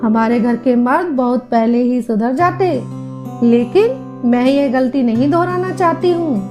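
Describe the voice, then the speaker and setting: A woman talks in a high pitch with ordinary pitch variation and very even loudness. Music plays in the background. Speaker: radio jockey, storyteller. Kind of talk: audio story narration.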